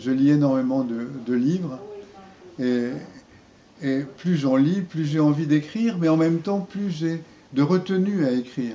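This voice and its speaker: A man's fairly high voice at a fairly slow pace, with long, frequent pauses, ordinary pitch variation and noticeable background noise. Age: 80s+. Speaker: poet. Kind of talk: interview. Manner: halting.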